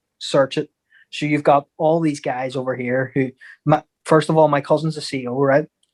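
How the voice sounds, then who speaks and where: A man with an Irish accent talks at a moderate pace in a fairly high, flat monotone, the sound dry and close with no echo. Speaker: boxer and football fan. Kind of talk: casual chat.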